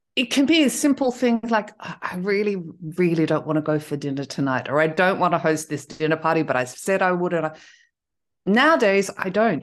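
In an Australian accent, a woman talks at a fairly quick pace with a fairly low pitch. Her voice makes very wide pitch swings over a quiet background. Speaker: intuitive coach. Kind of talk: casual interview.

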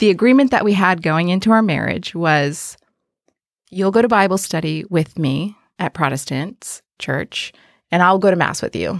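A woman with an American accent has an unremarkable speaking voice, a medium pitch and lively intonation at a moderate pace. The recording is very clean, with a silent background. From South Texas, McAllen (Mexican border). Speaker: parish digital ministries coordinator. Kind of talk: interview testimony.

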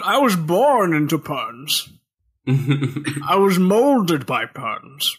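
A man's put-on character voice, high in pitch and very slow.

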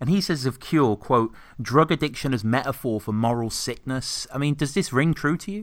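A man with a British accent, medium-pitched, fairly quick, with lively intonation, on a very clean recording against a silent background. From Britain. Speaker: podcast host. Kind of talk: casual chat. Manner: halting.

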